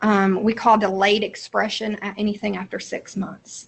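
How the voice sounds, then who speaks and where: A woman of medium pitch speaks in a somewhat breathy voice with monotone, flat intonation. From Appalachia, Eastern Kentucky. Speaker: mental health professional, seminar presenter. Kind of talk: lecture. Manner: halting, frequent fillers.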